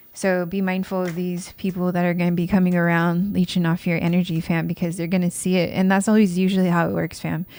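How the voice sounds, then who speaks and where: In a very clean recording with a silent background, a woman speaks in a fairly low pitch with monotone, flat intonation. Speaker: tarot reader. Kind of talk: tarot reading monologue. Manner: getting quieter.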